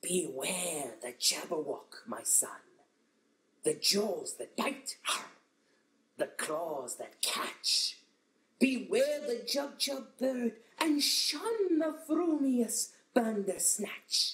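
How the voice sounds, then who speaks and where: A man's cartoonish character voice, extremely high-pitched, at a very slow pace. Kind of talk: poetry reading. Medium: puppet.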